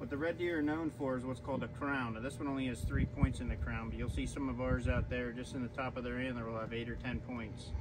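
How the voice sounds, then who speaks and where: The speech comes at a fairly quick pace over noticeable background noise. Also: man. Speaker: farm tour guide. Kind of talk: tour guide explanation. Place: farm machine. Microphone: camera far.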